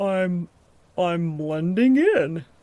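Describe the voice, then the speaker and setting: A woman at a medium pitch speaks in a put-on character voice. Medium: audio drama. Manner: dim, bumbling.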